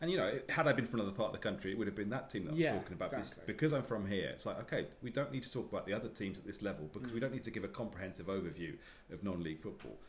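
A man's very fast, somewhat breathy speech with hardly any pauses and very wide pitch swings, over light background noise. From Somerset, England (Taunton). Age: 30s. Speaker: football commentator. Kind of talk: casual interview chat. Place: meeting room.

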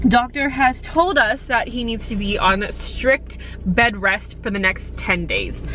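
A woman speaks at a fairly slow pace, the sound dry with no echo and light background noise. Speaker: vlogger. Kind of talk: casual vlog chat. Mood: irritated, ranting. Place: car. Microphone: phone near.

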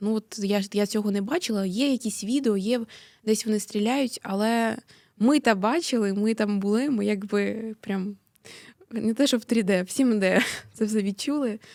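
In a normal speaking voice, a woman talks at a fairly slow pace. Her pitch is fairly high, with ordinary variation. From Mariupol, eastern Ukraine. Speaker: activist, daughter of a prisoner of war. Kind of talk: interview. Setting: studio.

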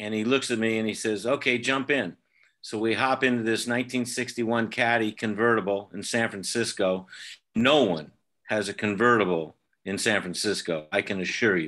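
This man's voice sits at a medium pitch, with a bright, sharp tone and ordinary pitch variation. He keeps a moderate pace against a quiet background. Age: 70s. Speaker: fan club member. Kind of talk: storytelling. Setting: video call. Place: home room. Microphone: video call.

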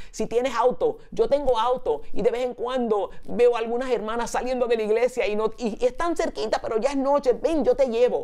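The speaker keeps a moderate pace with hardly any pauses. Intonation stays fairly even over a quiet background. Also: woman, high pitch for a woman. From New York, the Bronx (Puerto Rican family). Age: 60s. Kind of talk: sermon.

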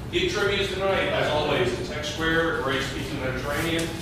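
A man speaks amid loud background noise, with audible echo from the room. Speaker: presenter. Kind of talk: meeting announcements. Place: classroom. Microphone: camera far.

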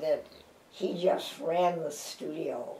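A woman speaks at a very slow pace in a fairly low pitch. Audible room echo surrounds her voice. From Chicago. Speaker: actress and dancer. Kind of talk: interview answer. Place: home room.

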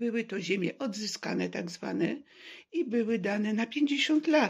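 Against a quiet background, a woman with vocal fry speaks at a very slow pace with ordinary pitch variation. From Poland, Warsaw. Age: 70s. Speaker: vlogger telling personal story. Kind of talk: personal testimony monologue; personal testimony, casual monologue. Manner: halting. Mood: serious, aggrieved. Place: home room. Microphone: phone near.

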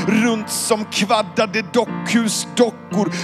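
Over loud background noise, the speech comes at a very slow pace. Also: man. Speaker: spoken word poet. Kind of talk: spoken word poetry performance with piano. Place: stage. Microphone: handheld.

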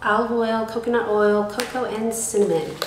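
The room echo is audible. There is light background noise. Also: woman. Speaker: beauty box reviewer. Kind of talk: casual unboxing review.

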